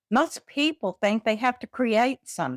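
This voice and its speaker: A woman talks with an American accent and lively intonation. The sound is dry and close, with no echo. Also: very clean recording, silent background. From Texas. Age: 70s. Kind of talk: casual talk to camera.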